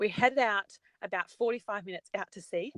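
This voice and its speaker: A woman speaks at a moderate pace with a strong Australian accent and a medium pitch. Her tone is bright and sharp, and the sound is dry and close with no echo. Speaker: travel industry representative. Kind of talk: casual interview chat.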